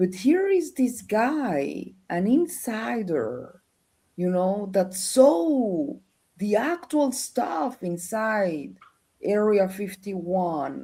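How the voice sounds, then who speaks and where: A woman speaks very slowly with a Spanish accent, her medium pitch swinging very widely. Her tone is dark and mellow, and somewhat breathy. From Colombia. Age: 50s. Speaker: researcher and former journalist. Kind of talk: interview. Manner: halting.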